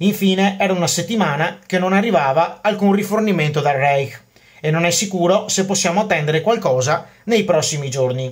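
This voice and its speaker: A man with a high pitch for a man speaks at a fairly quick pace, his loudness very even and his pitch variation ordinary. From Veneto, Venice. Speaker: history YouTuber. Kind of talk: educational monologue about military history. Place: home room. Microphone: phone near.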